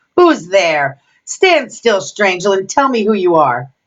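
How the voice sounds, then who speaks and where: A woman puts on a growling character voice at a medium pitch, speaking at a fairly slow pace. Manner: threatening, commanding.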